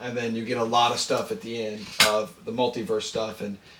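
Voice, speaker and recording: A man speaks over noticeable background noise. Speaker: podcast co-host. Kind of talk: casual chat.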